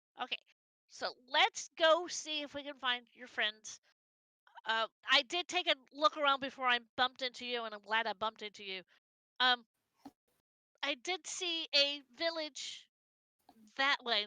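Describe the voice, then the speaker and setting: A put-on character voice at a moderate pace, with long, frequent pauses. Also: woman, high pitch for a woman. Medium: actual play. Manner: hesitant, stammering.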